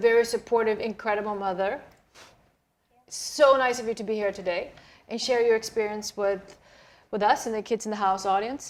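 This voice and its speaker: Talking at a fairly quick pace, a woman speaks with a Swedish accent. Her pitch is fairly high. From Sweden. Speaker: talk show host. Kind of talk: interview.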